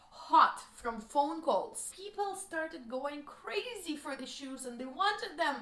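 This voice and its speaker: Heard with audible room echo, a woman with a strong Russian accent speaks fairly slowly in a bright, sharp tone, her pitch swinging very widely. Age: 20s. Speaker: vlogger. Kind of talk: personal life story.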